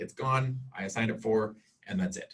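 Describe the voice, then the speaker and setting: Lively rises and falls color a voice that is a bit breathy. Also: man. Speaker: college instructor. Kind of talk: lecture. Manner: fast.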